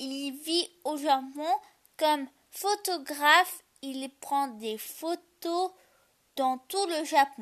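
A woman speaks at a very slow pace in a high voice, her pitch moving in an ordinary way. Her loudness swings widely from moment to moment. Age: 20s. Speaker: youtuber and podcaster. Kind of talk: solo podcast monologue. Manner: halting.

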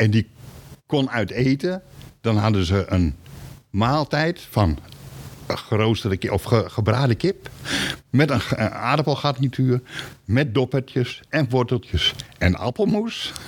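Very slow and broken by long, frequent pauses, a man's medium-pitched voice holds a very even loudness with lively intonation. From Groningen, northern Netherlands. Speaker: retired supermarket employee and company archivist. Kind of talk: interview. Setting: basement archive room. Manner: halting.

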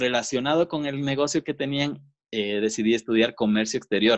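In a normal speaking voice, the speaker goes at a fairly quick pace with ordinary pitch variation, the sound dry and close with no echo. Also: man. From Quito, Ecuador. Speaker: podcast co-host, business owner. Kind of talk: casual chat.

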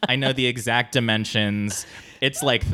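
With an American accent and an ordinary speaking voice, a man talks at a medium pitch and moderate pace with ordinary pitch variation. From US West Coast, San Diego. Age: 30s. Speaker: comedic actor and writer. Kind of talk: casual chat. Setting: at home.

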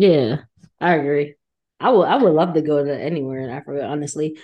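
A woman talking at a fairly quick pace against a quiet background. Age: 20s. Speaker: podcast co-host, therapist. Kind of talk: casual chat.

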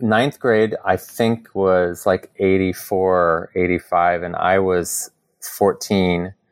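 Dry and close with no echo, a man's very deep, low voice moves at a very slow pace. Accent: American. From US Midwest, southern Illinois near St. Louis. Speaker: yoga teacher. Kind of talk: casual chat. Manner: animated.

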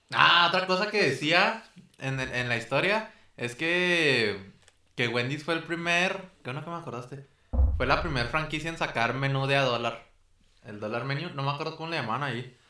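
Bright and sharp in tone, a man's fairly high voice moves at a moderate pace with lively intonation. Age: 20s. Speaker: food podcast host. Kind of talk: casual chat.

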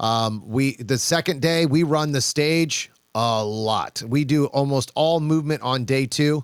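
A man with an unremarkable speaking voice at a fairly high pitch, with ordinary pitch variation, hardly any pauses, very even loudness, a dry, close sound with no echo and a very clean recording with a silent background. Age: 40s. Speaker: shooting coach and competitive shooter. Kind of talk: casual chat.

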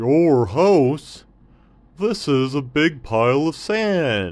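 A man does a put-on character voice at a fairly high pitch, with very wide pitch swings and a very slow pace. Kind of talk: bedtime story character voice. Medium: read story. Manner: friendly, polite, slightly nervous.

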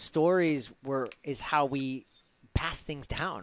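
Heard in a very clean recording with a silent background, a man with a fairly high pitch and ordinary pitch variation has an unremarkable speaking voice. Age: 40s. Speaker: podcast host. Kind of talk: podcast interview.

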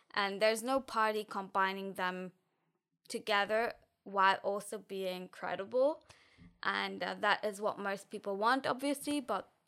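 A woman's bright, sharp tone at a medium pitch, with ordinary pitch variation and a fairly slow pace, on a very clean recording with a silent background. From Germany, near Frankfurt. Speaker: university student. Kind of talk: casual interview.

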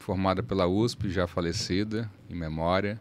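A man speaks at a very deep, low pitch. His pace is fairly slow. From Salvador, Bahia, Brazil. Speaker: lawyer. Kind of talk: casual interview.

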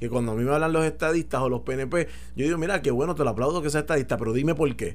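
Audible room echo surrounds a man speaking with a fairly high pitch. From Puerto Rico. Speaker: political commentator. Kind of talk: radio talk show discussion.

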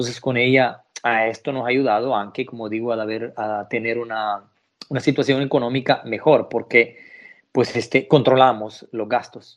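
Speaking at medium pitch, a man keeps a monotone, flat intonation. His pace is moderate, and the background is quiet. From El Salvador. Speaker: caregiver. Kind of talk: interview. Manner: halting.

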